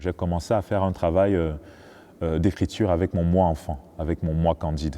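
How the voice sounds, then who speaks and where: A man's very deep, low voice with a dark, mellow tone, at a moderate pace and with fairly even intonation. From Cameroon. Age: 30s. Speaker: choreographer and dancer. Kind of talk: interview. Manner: hesitant, many fillers.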